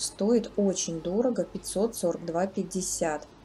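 Over light background noise, a somewhat breathy voice with a dark, mellow tone shows ordinary pitch variation. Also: woman. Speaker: shopping vlogger. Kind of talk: product price review narration. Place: shop. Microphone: phone near.

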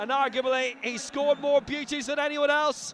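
A man's extremely high-pitched voice at a moderate pace, with noticeable background noise. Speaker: football commentator. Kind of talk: live football commentary over match highlights. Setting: studio voiceover over recorded match footage. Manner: punchy, rising intensity on goals.

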